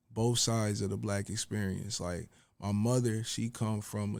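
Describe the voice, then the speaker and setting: An ordinary speaking voice with an American accent talks at a moderate pace and with fairly even intonation, on a very clean recording with a silent background. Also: man. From Buffalo, New York, US. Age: 30s. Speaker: rapper and fashion designer. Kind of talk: casual interview.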